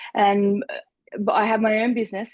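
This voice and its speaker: Over a quiet background, a woman with an Australian accent speaks at a fairly slow pace with fairly even intonation, the sound dry and close with no echo. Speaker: life coach and therapist. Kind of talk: interview conversation.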